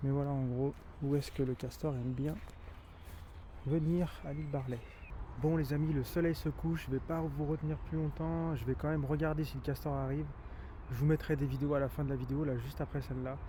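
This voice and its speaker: A man at a fairly quick pace with long, frequent pauses. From France, Rhône valley near Vienne (Isère). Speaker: nature guide and YouTuber. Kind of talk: outdoor vlog commentary. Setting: outdoors by the river at sunset. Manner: hesitant, many fillers; soft-spoken, quiet.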